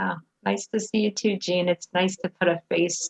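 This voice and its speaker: The speaker is a woman. She has a normal speaking voice. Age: 30s. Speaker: support group president. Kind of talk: casual chat. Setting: video call.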